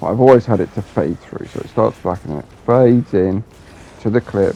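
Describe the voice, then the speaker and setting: Music plays behind a man who talks at a fairly quick pace with a fairly low pitch and ordinary pitch variation. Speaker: gamer video creator. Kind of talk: casual rant with gameplay commentary. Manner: animated, frustrated.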